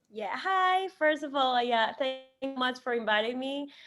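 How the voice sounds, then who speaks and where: The speaker has a Spanish accent. The intonation is lively. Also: woman. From Ecuador, Guayaquil. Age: 20s. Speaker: singer and marketer. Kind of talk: interview. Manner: halting.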